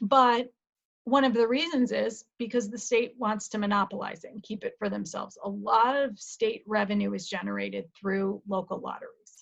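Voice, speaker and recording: A woman with a somewhat breathy, fairly high voice speaks at a moderate pace with ordinary pitch variation. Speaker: college lecturer. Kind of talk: lecture.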